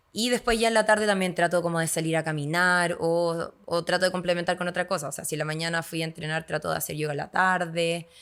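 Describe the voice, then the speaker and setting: Very fast speech comes from a woman with a fairly low pitch and fairly even intonation. The recording is very clean, with a silent background. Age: 30s. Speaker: yoga instructor and agronomist. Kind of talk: podcast interview.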